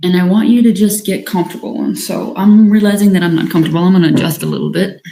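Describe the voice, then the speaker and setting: A woman speaks very fast in a medium pitch with ordinary pitch variation. Her tone is dark and mellow, and somewhat breathy. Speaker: leadership coach. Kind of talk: live-streamed workshop talk; guided breathing practice. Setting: livestream.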